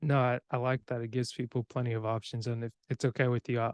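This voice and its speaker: Monotone and flat in intonation, a man with an American accent is heard in a dry, close sound with no echo. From US. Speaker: podcast host. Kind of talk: casual chat.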